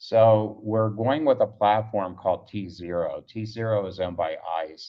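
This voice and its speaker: A man with a fairly low pitch and ordinary pitch variation speaks in a normal speaking voice. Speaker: startup founder pitching. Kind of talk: pitch presentation.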